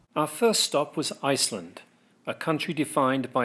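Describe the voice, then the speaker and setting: In a very clean recording with a silent background, a man with an American accent speaks at a fairly slow pace. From England. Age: 60s. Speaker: amateur soccer player and travel vlogger. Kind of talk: scripted narration.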